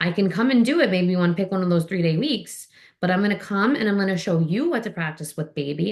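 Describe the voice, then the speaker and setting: A woman rattles along at a very fast pace with a medium pitch and lively intonation. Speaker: physical therapist and swim instructor. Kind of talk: Q&A session, casual explanation.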